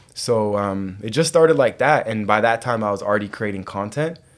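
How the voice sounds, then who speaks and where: A man with a Canadian accent speaks in an unremarkable speaking voice. His pitch is fairly low and his pace fairly quick. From western Canada (Calgary, then Richmond, BC). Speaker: wellness coach and entrepreneur. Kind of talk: casual interview. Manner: relaxed, conversational.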